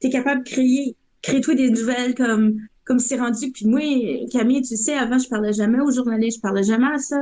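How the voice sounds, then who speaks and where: At a fairly quick pace, a woman talks in a high pitch with a dark, mellow tone. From northern Ontario, West Nipissing. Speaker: graffiti artist. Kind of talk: podcast interview. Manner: animated.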